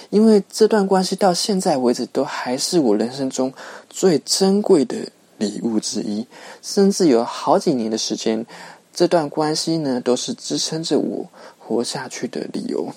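A man's fairly high voice, dark and mellow in tone, moving at a fairly slow pace with very wide pitch swings. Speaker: podcast host. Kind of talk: solo podcast monologue. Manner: many filler particles, conversational.

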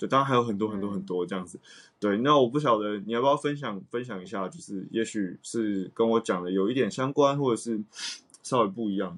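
A man with a plain, everyday voice talks at a fairly quick pace. His pitch is medium with ordinary pitch variation. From Taiwan. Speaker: jazz saxophonist. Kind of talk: casual chat.

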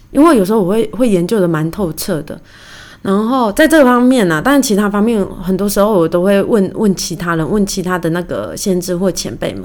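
With lively intonation, this is an unremarkable speaking voice. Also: woman, medium pitch for a woman, fairly quick pace. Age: 30s. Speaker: podcast host. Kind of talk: casual solo monologue. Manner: chatty, conversational.

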